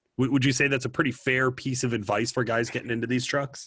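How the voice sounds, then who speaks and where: A man talks very fast at a medium pitch. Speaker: podcast host. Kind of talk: interview conversation. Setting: studio. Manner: loud.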